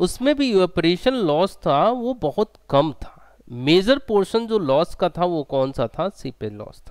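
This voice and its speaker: Against a quiet background with a dry, echo-free sound, a man speaks fairly slowly in a high pitch, with very wide pitch swings and big shifts in loudness. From India. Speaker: engineering exam tutor; online exam-prep teacher. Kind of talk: online lecture. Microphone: headset.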